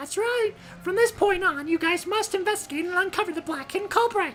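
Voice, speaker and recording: A put-on character voice, squeaky and extremely high-pitched, moves at a fairly quick pace. Clear background noise sits behind it. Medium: fan dub. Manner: playful, mocking, theatrical.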